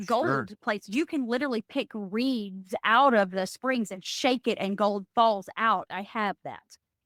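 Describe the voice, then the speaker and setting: A woman with a Southern US accent speaks at a fairly slow pace, her fairly high voice enthusiastic in tone, with ordinary pitch variation. The recording is very clean with a silent background, and the sound is dry and close with no echo. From East Tennessee. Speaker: former state representative and CEO. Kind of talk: interview answer.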